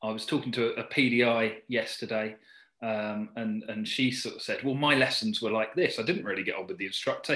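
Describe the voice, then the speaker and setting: Against a quiet background, a man talks with a southern English accent. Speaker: driving instructor. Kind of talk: interview chat.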